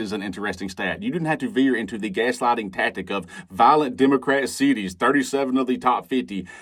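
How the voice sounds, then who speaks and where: In a very clean recording with a silent background, a man with a Southern US accent talks at a very fast pace and a medium pitch. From Alabama, US South. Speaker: commentary video creator. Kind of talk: reaction commentary. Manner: animated.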